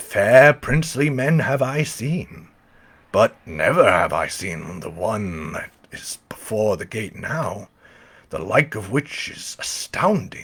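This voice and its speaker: A man puts on a raspy character voice at a medium pitch, with big swings in loudness. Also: fairly slow pace. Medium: read story.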